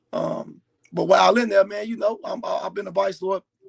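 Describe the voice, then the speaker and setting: This is a man talking. His pace is fairly quick. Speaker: formerly incarcerated man. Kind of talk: interview testimony. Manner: halting.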